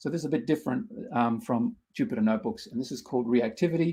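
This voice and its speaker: Speaking very fast, a man with an Australian accent shows ordinary pitch variation. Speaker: researcher and workshop instructor. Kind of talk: tutorial. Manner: halting, many fillers.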